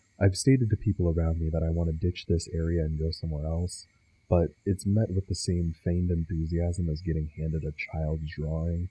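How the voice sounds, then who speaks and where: Against a quiet background, a man with a very deep, low pitch and a dark, mellow tone speaks fairly quickly in a somewhat breathy voice with fairly even intonation. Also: dry, close sound with no echo. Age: young. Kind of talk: personal video essay.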